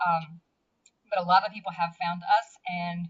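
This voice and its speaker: A woman with an American accent at a moderate pace, music in the background. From US South. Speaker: blogger. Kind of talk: interview. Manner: halting.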